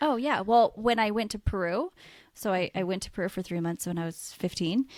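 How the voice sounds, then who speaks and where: A woman with a West Coast US accent at medium pitch, fairly quick and with ordinary pitch variation, in a dry, close sound with no echo on a very clean recording with a silent background. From US Pacific Northwest, Washington state. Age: 30s. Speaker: podcast co-host, nurse. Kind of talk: casual chat.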